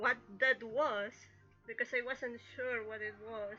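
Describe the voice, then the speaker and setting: A woman with a Spanish accent speaks in a raised, projected voice. Music plays in the background. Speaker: streamer and illustrator. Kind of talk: casual chat. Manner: halting.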